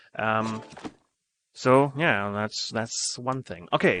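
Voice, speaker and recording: Medium-pitched man with a bright, sharp tone, fairly slow pace and ordinary pitch variation against a quiet background. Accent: German. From Germany. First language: German. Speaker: game streamer. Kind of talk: live gameplay commentary. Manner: hesitant, many fillers.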